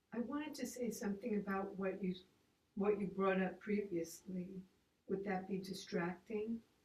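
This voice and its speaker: At a moderate pace, a woman with a medium pitch sounds somewhat breathy and keeps a fairly even intonation. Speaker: congregant. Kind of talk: group discussion. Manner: hesitant.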